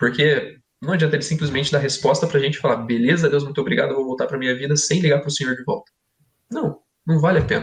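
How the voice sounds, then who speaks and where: Speaking at a very fast pace, a man with a fairly high pitch sounds somewhat breathy, his intonation fairly even. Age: 20s. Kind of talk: podcast discussion, testimony. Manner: conversational, informal.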